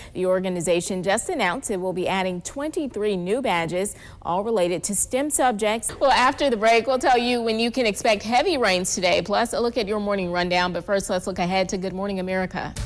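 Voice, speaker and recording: A woman talks fairly quickly at medium pitch, with hardly any pauses. Her pitch varies in an ordinary way, and it is a normal speaking voice. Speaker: news anchor and reporter. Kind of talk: local TV morning news anchoring. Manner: polished, upbeat broadcast delivery.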